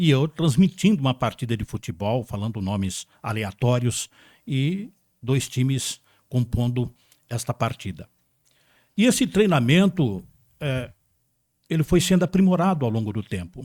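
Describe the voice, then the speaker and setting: On a very clean recording with a silent background and a dry, close sound with no echo, a man at a medium pitch speaks at a fairly slow pace with very wide pitch swings and long, frequent pauses. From Brazil, São Paulo state interior. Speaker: radio broadcaster. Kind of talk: interview.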